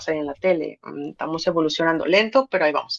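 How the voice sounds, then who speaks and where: A woman speaks in a Mexican accent. The sound is dry and close with no echo. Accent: Mexican accent, noticeable in Spain. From Mexico, Guadalajara. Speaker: poet and radio presenter. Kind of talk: interview conversation. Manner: animated.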